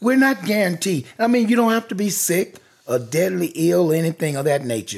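A high-pitched male voice with a Southern US accent and lively intonation. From US South (rural). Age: 60s. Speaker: chef and cafe owner. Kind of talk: interview.

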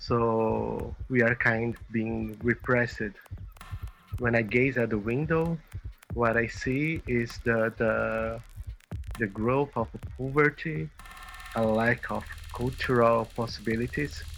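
The speaker goes at a very slow pace, in a Portuguese accent, with long, frequent pauses. Noticeable background noise is present. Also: man. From Brazil. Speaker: musician and teacher. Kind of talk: interview. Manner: halting.

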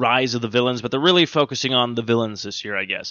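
A man has an unremarkable speaking voice at medium pitch. His pitch variation is ordinary. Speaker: comic book podcast host. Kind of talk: casual chat. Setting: studio. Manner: rambling, filler-heavy.

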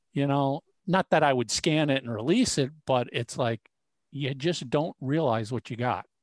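The speaker keeps a moderate pace in a very clean recording with a silent background. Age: 50s. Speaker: podcast co-host. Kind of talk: casual chat.

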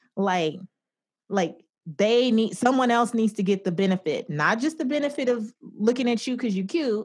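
A woman speaks at a moderate pace in a fairly high, somewhat breathy voice with lively intonation over a quiet background. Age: 30s. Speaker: personal finance expert. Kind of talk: interview.

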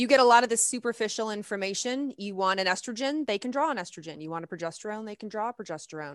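In a normal speaking voice, a woman with an American accent talks at a fairly high pitch, recorded with a dry, close sound, no echo and a quiet background. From US South (Lexington, Kentucky). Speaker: naturopathic doctor, hormone expert. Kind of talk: interview, medical explanation.

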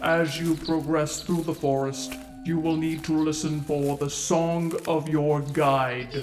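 Clear music plays in the background as a man with a fairly high voice speaks at a fairly slow pace. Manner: measured, instructional.

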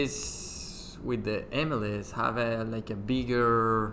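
A man with a Spanish accent speaks very slowly at a medium pitch, his intonation flat and monotone, with audible room echo around him. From Colombia. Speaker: former professional footballer. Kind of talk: casual interview. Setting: studio.

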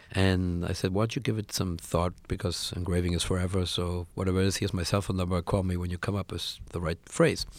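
A man with a German accent and a very deep, low pitch speaks at a fairly quick pace on a very clean recording with a silent background. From Germany. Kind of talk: interview. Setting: studio.

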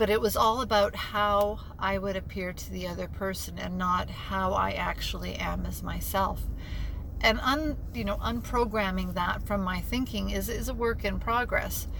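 Noticeable background noise and audible room echo fill the clip. A woman speaks at a moderate pace. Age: 50s. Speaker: recovery coach podcast host. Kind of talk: personal monologue. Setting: in a car.

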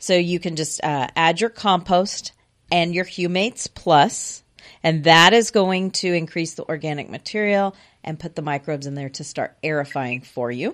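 Here is a woman with an American accent and a plain, everyday voice. Her pitch is fairly low, with ordinary variation and a moderate pace. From Houston area, Texas. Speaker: garden center expert. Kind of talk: radio call-in advice. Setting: radio studio.

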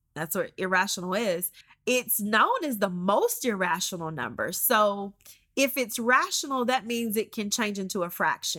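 A woman speaks at a moderate pace with medium pitch. Her tone is bright and sharp, with lively intonation. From Georgia. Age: 40s. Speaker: math teacher and pastor's wife. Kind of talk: casual chat.

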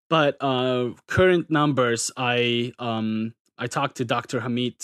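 In a North Caucasus accent, a man speaks at a medium pitch with fairly even intonation, the sound dry and close with no echo against a quiet background. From Turkey. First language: Circassian. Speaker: graduate student and English teacher. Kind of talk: casual interview chat. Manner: hesitant, filler-heavy.

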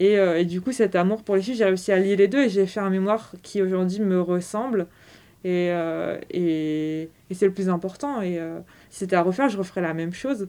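A woman with a medium pitch and a dark, mellow tone speaks at a moderate pace with ordinary pitch variation. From Brittany, France (Quimper). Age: 20s. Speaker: sports retail manager, former work-study student. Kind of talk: interview testimony. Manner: hesitant, frequent fillers and repetitions.

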